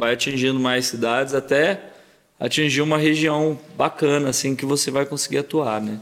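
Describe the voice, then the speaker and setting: A man's fairly high-pitched, normal speaking voice at a moderate pace, with fairly even intonation. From Brazil, Paraguaçu (Minas Gerais). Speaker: sertanejo singer. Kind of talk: casual interview chat.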